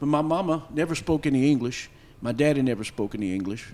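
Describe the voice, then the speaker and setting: This man talks at a fairly quick pace. His pitch sits fairly high. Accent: Louisiana. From Louisiana, Marksville (Cajun French area). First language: Louisiana French. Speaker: festival panelist, French heritage speaker. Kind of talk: personal storytelling on a panel. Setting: stage with audience at folk festival. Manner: conversational with many fillers and restarts.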